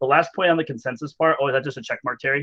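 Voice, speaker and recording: Fairly even intonation runs through speech delivered at a very fast pace. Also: man. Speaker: meeting facilitator. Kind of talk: staff meeting facilitation.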